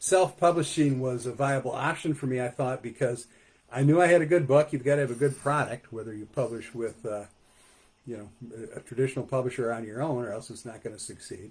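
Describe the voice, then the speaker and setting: A man talks at a fairly quick pace in a somewhat breathy voice. His loudness swings widely. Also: medium pitch for a man, ordinary pitch variation. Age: 60s. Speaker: poet and author. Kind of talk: author talk. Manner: halting, many fillers.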